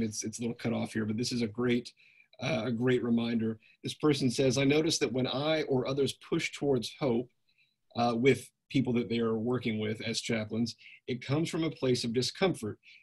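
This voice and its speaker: A man's somewhat breathy, medium-pitched voice at a moderate pace, with fairly even intonation. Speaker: webinar host and moderator. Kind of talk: moderated Q&A. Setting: online webinar.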